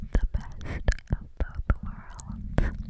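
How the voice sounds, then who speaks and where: A woman is whispering. Her voice is breathy. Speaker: content creator. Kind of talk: ASMR whisper talk. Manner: close breathy whisper into microphone. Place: home room. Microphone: studio mic.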